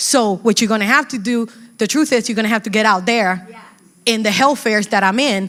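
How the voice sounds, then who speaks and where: A Spanish accent with fairly even intonation. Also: woman. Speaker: community health educator. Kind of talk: panel talk at workshop.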